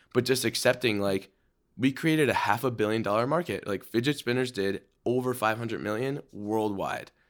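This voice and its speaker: With an ordinary speaking voice, a man speaks at a medium pitch and a fairly quick pace, his pitch varying in an ordinary way, on a very clean recording with a silent background. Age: 20s. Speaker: entrepreneur and influencer. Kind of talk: interview conversation.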